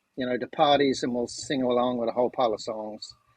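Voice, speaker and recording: This man talks at a medium pitch with monotone, flat intonation. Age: 60s. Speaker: amateur musician and corporate change agent. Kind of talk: casual chat.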